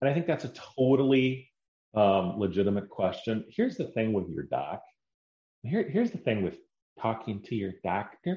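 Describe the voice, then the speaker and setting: Somewhat breathy with a dark, mellow tone, a man speaks at a moderate pace with very wide pitch swings. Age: 40s. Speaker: podcast host. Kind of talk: solo monologue.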